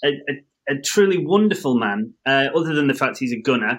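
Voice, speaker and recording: Speaking at a fairly quick pace with an English accent, the voice has a bright, sharp tone and ordinary pitch variation. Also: man. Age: 30s. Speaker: podcast host. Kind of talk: casual chat.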